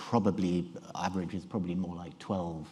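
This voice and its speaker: A man's voice with a British accent. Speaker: neurology professor giving a conference talk. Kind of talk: conference lecture. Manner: halting, many fillers and restarts. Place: hall.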